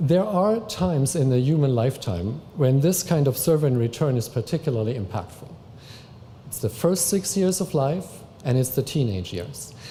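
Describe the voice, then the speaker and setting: A man with a non-native accent speaks at a fairly high pitch, his voice swinging very widely up and down. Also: moderate pace. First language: not English. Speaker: family services worker. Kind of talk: public talk.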